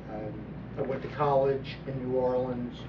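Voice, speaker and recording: A man speaks with an American accent at medium pitch. His pace is fairly slow, and there is audible room echo. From US South, southeast Texas (Port Arthur). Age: 70s. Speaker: political commentator. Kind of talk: monologue commentary. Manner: halting, repeats words.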